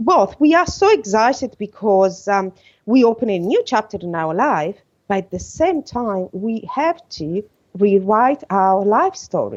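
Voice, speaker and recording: Lively intonation marks this woman's voice at a medium pitch. She speaks at a fairly slow pace. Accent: Italian. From Italy. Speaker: podcast guest, coach. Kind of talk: podcast interview. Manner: halting.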